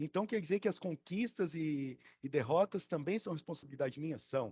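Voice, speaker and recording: A man's fairly high, somewhat breathy voice with lively intonation at a fairly quick pace. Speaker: education official leading student council meeting. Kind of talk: online meeting presentation. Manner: fast.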